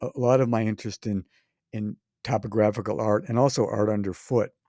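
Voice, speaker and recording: The tone is dark and mellow, the pace fairly quick, and the recording very clean with a silent background. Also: man, dry, close sound with no echo. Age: 70s. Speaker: artist and podcaster. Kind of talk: casual interview conversation. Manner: storytelling, hesitant.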